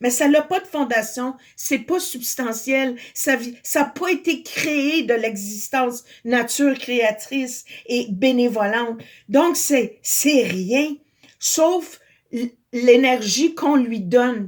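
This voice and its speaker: A woman with a Quebec accent, high pitch and ordinary pitch variation, at a very slow pace. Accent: Québécois French. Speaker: spiritual video blogger. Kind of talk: spiritual monologue. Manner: loud.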